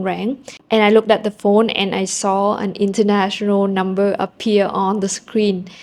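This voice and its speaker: In a Vietnamese accent, a woman speaks at a moderate pace. Her medium-pitched voice stays monotone and flat. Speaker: language-learning vlogger. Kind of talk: casual vlog storytelling.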